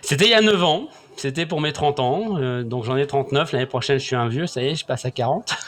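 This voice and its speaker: Noticeable background noise sits behind a man's fairly high voice. He talks at a fairly quick pace with lively intonation. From France, Saint-Étienne. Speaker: sales training business owner. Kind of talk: interview, personal testimony. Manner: halting, frequent repetitions.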